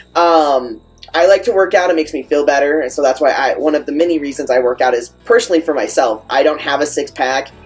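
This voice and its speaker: With music playing behind him, a man of fairly high pitch speaks at a very fast pace with ordinary pitch variation. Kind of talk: casual vlog talk. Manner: casual, many fillers.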